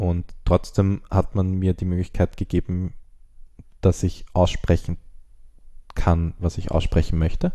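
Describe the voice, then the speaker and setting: A dark, mellow tone, monotone and flat, very slow with long, frequent pauses. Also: man, very deep, low pitch for a man. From Austria. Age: 20s. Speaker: screenwriter and director. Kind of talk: interview.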